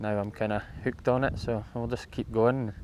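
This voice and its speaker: A man speaks with a northeast Scottish accent at a medium pitch. The recording is very clean, with a silent background. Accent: Scottish (north-east). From Scotland, Moray coast. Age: 30s. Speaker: amateur enduro rider. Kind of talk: interview. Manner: halting.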